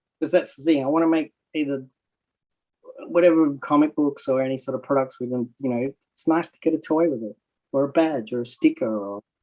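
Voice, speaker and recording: This man has an Australian accent and a dark, mellow tone at a fairly high pitch. He talks at a fairly quick pace with big swings in loudness. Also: ordinary pitch variation. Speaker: comic artist. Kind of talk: casual chat.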